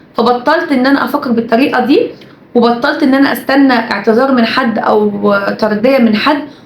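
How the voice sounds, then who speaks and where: A woman talks in a high pitch with ordinary variation. Audible room echo and noticeable background noise surround her voice. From Egypt. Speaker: YouTuber and TV presenter. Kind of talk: casual vlog monologue.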